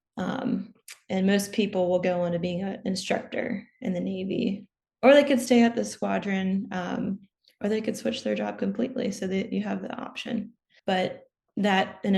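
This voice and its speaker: A woman with an American accent speaks at a medium pitch and moderate pace, her intonation fairly even and her voice showing vocal fry. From US, Maryland. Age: 20s. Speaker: commercial pilot and former naval aviator. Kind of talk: interview.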